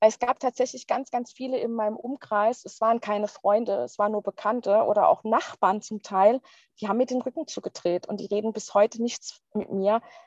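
In a dry, close recording with no echo, a woman with a plain, everyday voice speaks at a moderate pace, her fairly high pitch showing ordinary variation. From Palatinate, Germany. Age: 30s. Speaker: divorcee sharing personal story. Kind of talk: interview testimony.

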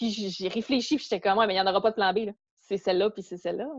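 Against a quiet background, a woman talks at a medium pitch, with a dry, close sound and no echo. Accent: Quebec. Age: 30s. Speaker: fitness instructor and eating disorder recovery blogger. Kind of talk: interview testimony. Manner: hesitant, many fillers and repetitions.

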